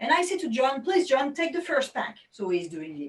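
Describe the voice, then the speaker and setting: A woman with a French accent speaks at a moderate pace in an animated tone, her pitch swinging very widely. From France. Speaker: magician. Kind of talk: tutorial.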